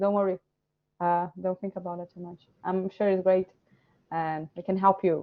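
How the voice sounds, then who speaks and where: Speaking at a moderate pace, a woman talks with a Portuguese accent. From Brazil. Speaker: illustrator and course director. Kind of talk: Q&A session. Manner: animated.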